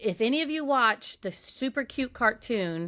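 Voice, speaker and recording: With an American accent, a woman speaks in an animated, bright, sharp tone on a very clean recording with a silent background and a dry, close sound with no echo. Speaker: podcast host. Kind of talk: casual chat.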